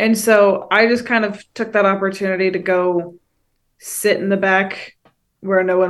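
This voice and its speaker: Speaking slowly-ish at a fairly slow pace, a woman with an American accent holds a medium pitch in a monotone, flat way. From Northern California. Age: 20s. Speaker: college student, host's daughter. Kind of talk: casual chat. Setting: video call.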